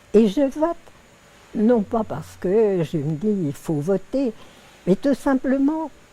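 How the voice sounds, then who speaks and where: This woman's fairly high voice swings very widely in pitch. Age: 80s+. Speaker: woman who witnessed women's first vote in France. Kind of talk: interview answer.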